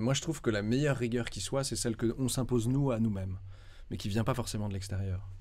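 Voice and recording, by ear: At a fairly quick pace, a man talks with a dark, mellow tone and fairly even intonation. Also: medium pitch for a man.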